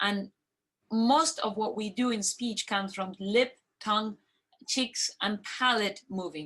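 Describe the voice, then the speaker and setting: A woman's pitch is fairly high. She has a non-native accent. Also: ordinary pitch variation. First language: not English. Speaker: medical expert answering parent questions. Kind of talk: question and answer discussion.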